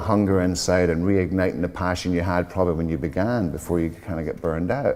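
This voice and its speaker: Speaking at a fairly quick pace, a man has a very deep, low voice. His accent is American. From Scotland. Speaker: hairdresser and platform artist. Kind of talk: interview conversation. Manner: animated.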